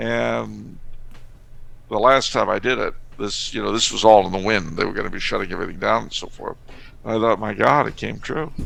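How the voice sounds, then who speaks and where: Fairly quick speech from a man amid audible room echo. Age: 50s. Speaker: author and historian guest. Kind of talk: casual podcast interview. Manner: conversational with frequent hesitations.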